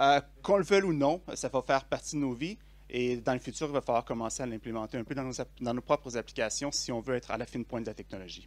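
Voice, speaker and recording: A man with a Quebec accent at a very fast pace, on a very clean recording with a silent background. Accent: Québécois French. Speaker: conference speaker, software developer. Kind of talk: tech conference talk. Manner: hesitant, many fillers.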